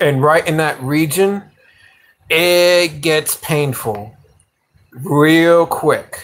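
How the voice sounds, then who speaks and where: With a New York accent, a man speaks at a very slow pace and fairly high pitch, with ordinary pitch variation and long, frequent pauses. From New York (Yonkers). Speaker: livestreamer, motorcycle hobbyist. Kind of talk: casual live stream chat. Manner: halting, many fillers.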